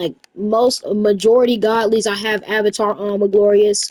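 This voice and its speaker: A woman speaks at a fairly high pitch in a monotone, flat way. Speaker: gaming YouTuber. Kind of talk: casual chat. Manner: stuttering, halting; casual, filler-heavy.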